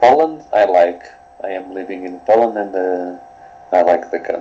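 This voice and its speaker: Noticeable noise runs in the background. A man with a very deep, low pitch speaks at a fairly slow pace. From Portugal. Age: 20s. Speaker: coaching client. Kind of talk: coaching session. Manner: halting.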